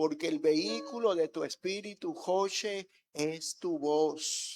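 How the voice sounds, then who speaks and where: A man with a high-pitched voice speaks at a very slow pace, his intonation lively. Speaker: pastor. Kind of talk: sermon. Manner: soft-spoken.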